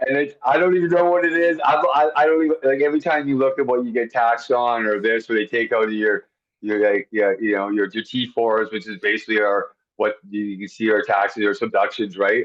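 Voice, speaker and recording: With a Canadian accent, a man talks at a fairly quick pace in an ordinary speaking voice, medium in pitch with lively intonation. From Canada. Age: 40s. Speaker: high-rise window cleaner. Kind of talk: podcast interview.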